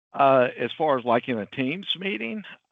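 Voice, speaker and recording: A man with a strong Southern US accent speaks at a fairly slow pace with lively intonation. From US South. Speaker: IT company CEO and webinar presenter. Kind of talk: webinar presentation. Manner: casual, filler-heavy.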